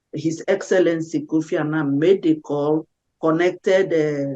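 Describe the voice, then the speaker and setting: A woman with an African accent speaks at a fairly slow pace in a very deep, low voice with a dark, mellow tone, the sound dry and close with no echo. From Nigeria. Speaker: peace activist and singer. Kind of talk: interview. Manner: halting with self-corrections.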